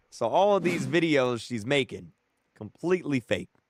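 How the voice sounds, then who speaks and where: Dry and close with no echo, a man speaks at a medium pitch and a moderate pace. His tone is animated, with very wide pitch swings. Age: 20s. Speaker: YouTuber streamer. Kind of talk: live stream chat.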